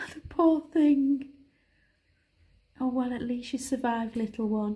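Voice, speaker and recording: Speaking with a northern English accent, a woman uses a high pitch and a dark, mellow tone, keeping a fairly slow pace and fairly even intonation. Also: big swings in loudness. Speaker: vlogger. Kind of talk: casual vlog. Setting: at home. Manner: whispering.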